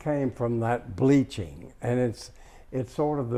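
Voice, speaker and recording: A man speaks at a medium pitch with a dark, mellow tone. His pitch varies in an ordinary way against a quiet background. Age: 80s+. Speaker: interior designer. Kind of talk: home tour talk. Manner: hesitant, storytelling.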